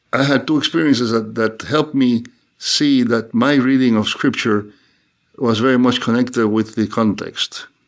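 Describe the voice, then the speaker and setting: A man of medium pitch speaks at a moderate pace with a Cuban accent. His loudness is very even, and the recording is very clean with a silent background. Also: fairly even intonation. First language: Spanish. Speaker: theologian and professor. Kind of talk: interview conversation.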